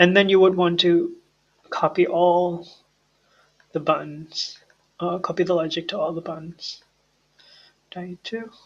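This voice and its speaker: Speaking at a fairly slow pace with long, frequent pauses, a man with a high voice lets his loudness rise and fall sharply. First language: not English. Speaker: programming tutor. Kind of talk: coding tutorial. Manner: halting, self-correcting.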